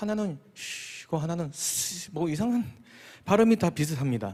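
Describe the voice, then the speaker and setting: Recorded very cleanly against a silent background, a man talks at a moderate pace with a fairly high pitch and lively intonation. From Busan, South Korea. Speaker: pastor. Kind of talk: sermon. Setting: church.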